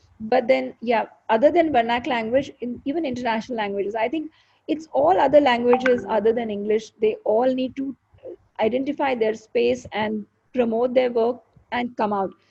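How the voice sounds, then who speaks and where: Speaking at a moderate pace with an Indian accent, a woman has a high pitch, a dark, mellow tone, and ordinary pitch variation. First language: Hindi. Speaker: show host and poet. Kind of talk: live interview chat.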